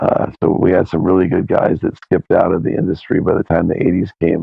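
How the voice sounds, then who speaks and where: At a very fast pace, a man speaks with a very deep, low pitch and fairly even intonation. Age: 60s. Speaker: record label founder and guitarist. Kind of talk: casual chat. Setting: podcast interview. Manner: halting, with frequent repeated words.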